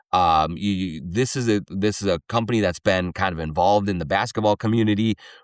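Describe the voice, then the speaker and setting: Talking at a fairly quick pace, a man uses a fairly low pitch, ordinary pitch variation and a Minnesotan accent. The sound is dry and close with no echo, on a very clean recording with a silent background. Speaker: sports podcast host. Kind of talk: solo podcast commentary with host-read ads. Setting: studio.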